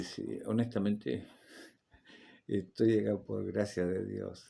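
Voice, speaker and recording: A man speaks in a dark, mellow tone, with audible room echo around him. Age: 60s. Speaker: Bible teacher. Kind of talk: lecture; personal testimony. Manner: halting.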